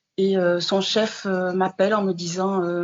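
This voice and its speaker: Taking a fairly slow pace, a woman talks at medium pitch. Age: 60s. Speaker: widow and former caregiver. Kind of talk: testimony. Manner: halting, many hesitations.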